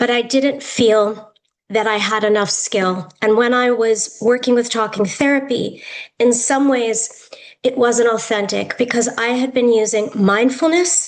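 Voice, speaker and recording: A woman with an American accent talks at a fairly slow pace in a fairly high pitch with fairly even intonation and audible room echo. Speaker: yoga therapist and educator. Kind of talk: lecture.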